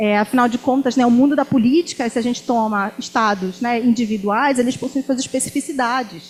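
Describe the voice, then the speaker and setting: A high female voice, fairly quick and with hardly any pauses, with ordinary pitch variation. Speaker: university professor. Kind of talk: academic talk. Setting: lecture hall with student audience.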